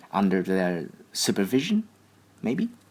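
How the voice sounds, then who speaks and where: A man with a Vietnamese accent speaks at a fairly slow pace in a very clean recording with a silent background. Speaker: IELTS test candidate. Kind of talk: mock speaking exam interview. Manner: hesitant, with fillers and repetitions.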